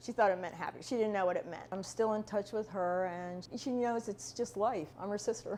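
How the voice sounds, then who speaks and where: A woman talks at a fairly quick pace with hardly any pauses, in a normal speaking voice. Her pitch is medium and its variation is ordinary. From abroad, moved to US as a child. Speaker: interviewee. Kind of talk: personal testimony interview.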